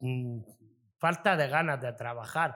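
Ordinary pitch variation and a fairly slow pace in a plain, everyday voice. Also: man. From Almería province, Spain. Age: 40s. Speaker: restaurant owner. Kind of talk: interview. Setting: in his restaurant.

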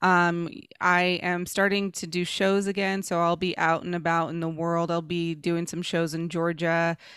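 At a fairly slow pace, a woman speaks with a fairly low pitch and monotone, flat intonation. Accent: American. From Dallas, Texas (Oak Cliff). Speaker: comedian and actress. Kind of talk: casual chat.

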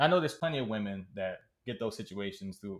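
Speaking at a very fast pace with an American accent, a man uses ordinary pitch variation on a very clean recording with a silent background. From Maryland (Prince George's County), US. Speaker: podcast co-host. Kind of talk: casual chat.

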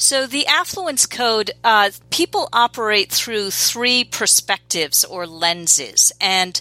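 A woman speaks at a very slow pace with an American accent. Her fairly high, bright, sharp voice has lively intonation, in a dry, close sound with no echo. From New York City. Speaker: business coach. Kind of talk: podcast interview.

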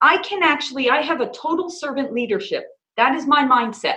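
A woman speaks at a moderate pace in a high, bright, sharp voice. Her pitch swings very widely. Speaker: business owner in mortgage industry. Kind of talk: interview. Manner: enthusiastic.

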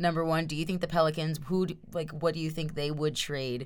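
A woman's fairly low voice at a fairly quick pace, an unremarkable speaking voice. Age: 20s. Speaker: sports podcast co-host. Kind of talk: casual chat.

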